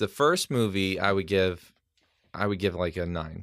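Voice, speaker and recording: A man with a fairly low pitch talks in an ordinary speaking voice. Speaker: guest on podcast. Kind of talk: casual chat. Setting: home studio.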